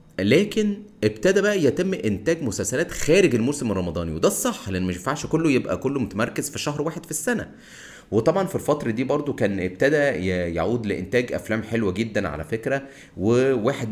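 A man at medium pitch with a Cairo accent, very wide pitch swings, moderate pace. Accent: Egyptian Arabic (Cairene). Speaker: podcast host. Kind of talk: solo monologue on film history. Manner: casual, conversational.

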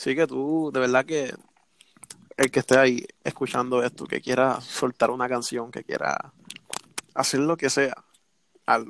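A man with a Puerto Rican accent at a medium pitch, monotone and flat, fairly slow with long, frequent pauses, in a dry, close sound with no echo. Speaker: communications student, amateur camera operator. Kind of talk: casual chat. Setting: call.

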